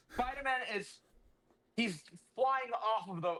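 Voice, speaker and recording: A man speaks at a moderate pace. His tone is bright, sharp and animated. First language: not English. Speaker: comic book podcast co-host. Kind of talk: casual chat, recapping a comic.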